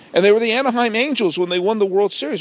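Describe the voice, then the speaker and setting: A man with a New England accent speaks at a high pitch. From New England, Massachusetts and Connecticut. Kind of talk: solo podcast monologue. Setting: outdoors.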